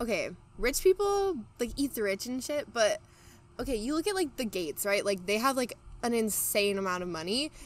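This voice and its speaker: Speaking at a fairly quick pace in a Californian accent, a woman uses a high voice with very wide pitch swings and an animated tone. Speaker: podcast guest, incoming college student. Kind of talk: casual chat.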